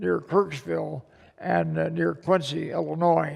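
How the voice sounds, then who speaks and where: This man talks with a Midwestern American accent. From Missouri. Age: 80s+. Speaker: war veteran. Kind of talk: public talk.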